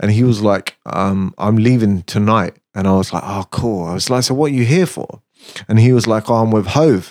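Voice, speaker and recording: A man at a moderate pace, medium in pitch, a plain, everyday voice, in dry, close sound with no echo. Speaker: music producer. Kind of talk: casual chat.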